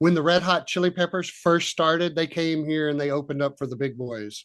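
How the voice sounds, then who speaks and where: Set against a quiet background, a voice with an American accent moves at a moderate pace. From Texas. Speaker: punk rock musician. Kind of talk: casual interview chat.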